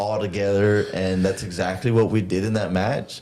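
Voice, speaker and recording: Over noticeable background noise, a man talks at a moderate pace in a fairly low pitch with monotone, flat intonation. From Texas, Rio Grande Valley. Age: 30s. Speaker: professional wrestler. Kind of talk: casual chat.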